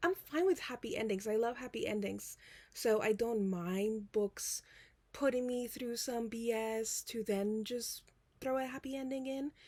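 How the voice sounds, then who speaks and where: Her tone is dark and mellow, at a fairly high pitch. The woman keeps a fairly slow pace. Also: ordinary pitch variation. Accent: non-native. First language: not English. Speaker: book vlogger. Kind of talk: casual chat. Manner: rambling with many fillers.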